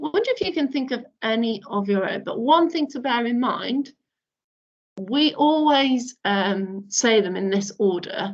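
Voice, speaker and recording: A woman with a slight northern UK accent, high in pitch, with lively intonation at a fairly slow pace. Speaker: primary school teacher. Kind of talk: online lesson for young children. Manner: animated.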